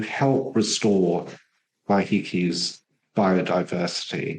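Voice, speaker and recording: Here a man speaks with an English accent. His pace is very slow. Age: 60s. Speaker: war veteran and ex-psychotherapist. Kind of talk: podcast interview.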